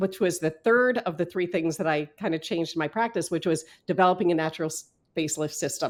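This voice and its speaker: This woman has an unremarkable speaking voice, pitched fairly low, moving at a fairly quick pace with lively intonation on a very clean recording with a silent background. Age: 60s. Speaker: acupuncturist and natural facelift practitioner. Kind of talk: podcast interview. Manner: conversational with frequent fillers.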